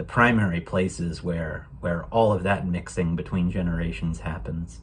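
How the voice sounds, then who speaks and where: In an American accent, a man speaks at a moderate pace with a very deep, low voice. His intonation is lively and his voice is somewhat breathy. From United States. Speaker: program guest sharing a holiday story. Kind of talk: personal reflection. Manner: hesitant, many fillers.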